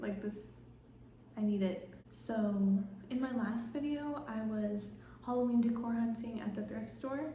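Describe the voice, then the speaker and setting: Whispering and soft-spoken, a woman talks at a fairly slow pace with long, frequent pauses, amid audible room echo and noticeable background noise. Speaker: lifestyle vlogger. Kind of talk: casual vlog narration. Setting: at home. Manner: soft-spoken, partly whispering.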